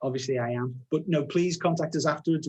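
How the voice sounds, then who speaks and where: A man's fairly high, somewhat breathy voice at a fairly quick pace with ordinary pitch variation. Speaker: software product director. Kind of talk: webinar presentation. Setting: live webinar. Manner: fast.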